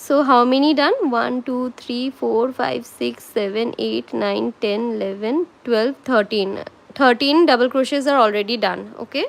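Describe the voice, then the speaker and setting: With noticeable background noise, a woman in a Bengali accent speaks at a fairly slow pace with hardly any pauses. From India, Kolkata. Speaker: crochet tutor. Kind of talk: live tutorial. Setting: livestream. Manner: slow, step-by-step counting.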